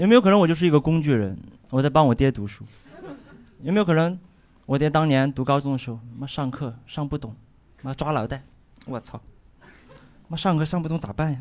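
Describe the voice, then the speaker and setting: A man with a Sichuan accent talks at a fairly quick pace and a fairly high pitch, with ordinary pitch variation. Long, frequent pauses break up his speech. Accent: noticeable Sichuan. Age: 20s. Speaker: stand-up comedian. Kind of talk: stand-up.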